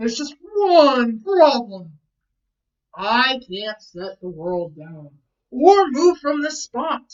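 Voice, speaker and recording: At a very slow pace, a woman performs a put-on character voice, high pitched, with very wide pitch swings and big swings in loudness. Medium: read story. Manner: cheerful, scheming.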